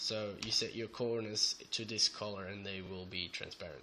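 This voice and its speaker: A man's flat, monotone delivery in a Flemish accent, bright and sharp in tone, at a fairly slow pace. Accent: Belgian Dutch (Flemish) accent in English. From Belgium. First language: Dutch. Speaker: programming tutorial maker. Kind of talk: screencast tutorial. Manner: hesitant, many fillers.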